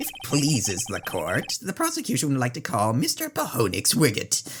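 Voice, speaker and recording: Clear background noise sits behind a man doing a put-on character voice. His pace is moderate. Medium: game stream. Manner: smug, patronizing.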